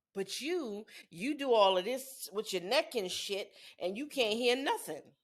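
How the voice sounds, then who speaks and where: At a fairly slow pace, a woman with a fairly high pitch speaks in an animated tone with lively intonation. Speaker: podcast co-host. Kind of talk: casual chat. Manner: loud.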